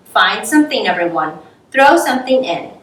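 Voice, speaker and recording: A woman's put-on character voice, high-pitched, with very wide pitch swings, a moderate pace and a slight echo. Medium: read story.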